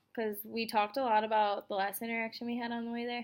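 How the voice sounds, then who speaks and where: A woman speaks fairly quickly in an American accent. Her intonation stays monotone and flat. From United States. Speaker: college student. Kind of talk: class assignment reflection. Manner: fast.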